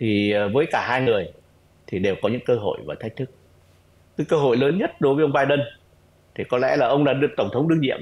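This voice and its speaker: A man speaks at a very fast pace with fairly high pitch. His pitch varies in an ordinary way, broken by long, frequent pauses. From Vietnam. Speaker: retired diplomat; remote guest. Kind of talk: interview analysis. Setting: online call. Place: home room. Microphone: video call.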